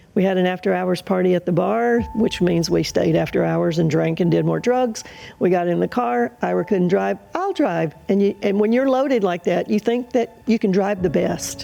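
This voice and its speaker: Over background music, a woman with an American accent speaks with hardly any pauses and very even loudness. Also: moderate pace. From US South, Mississippi. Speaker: guest telling her faith story. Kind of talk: testimony interview. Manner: hesitant, many fillers.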